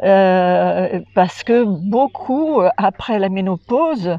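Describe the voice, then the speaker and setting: Her pitch rises and falls in an ordinary way. This woman's voice sits at a medium pitch. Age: 80s+. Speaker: holistic care practitioner, course participant. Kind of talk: testimony interview. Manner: halting, many hesitations.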